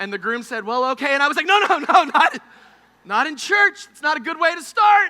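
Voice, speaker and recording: An animated man speaks fairly quickly in a raised, projected voice at an extremely high pitch. His pitch swings very widely and his loudness shifts a lot. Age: 30s. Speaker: preacher. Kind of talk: sermon. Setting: camp meeting service with audience. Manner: animated, humorous storytelling.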